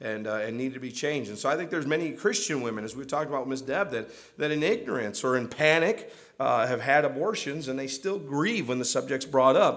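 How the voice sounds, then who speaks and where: Over a quiet background, a man with an American accent and a fairly high pitch talks at a very fast pace with lively intonation. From US. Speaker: pastor. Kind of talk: sermon. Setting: church. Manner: halting, full of repeated words and restarts; earnest, pleading. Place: church.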